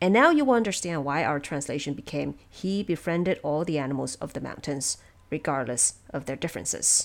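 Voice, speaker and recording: With vocal fry and a very deep, low pitch, a woman talks at a fairly quick pace using lively intonation. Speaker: narrator and producer of an audio drama podcast. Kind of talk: casual explanatory commentary. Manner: relaxed.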